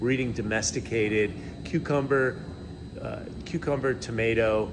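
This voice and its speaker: A man speaks at a medium pitch with fairly even intonation. Room echo is audible. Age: 60s. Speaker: health influencer. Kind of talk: interview.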